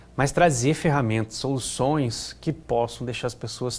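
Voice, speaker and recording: A man speaks with a slight Curitiba accent. His pace is moderate. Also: very clean recording, silent background. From Curitiba, southern Brazil. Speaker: risk management consultant. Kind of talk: interview.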